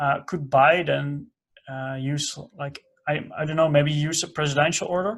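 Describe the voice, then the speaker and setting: This man speaks with a Dutch accent and a fairly high pitch. His pace is moderate and his intonation fairly even. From Netherlands. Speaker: podcast host. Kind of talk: interview. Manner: halting, many fillers.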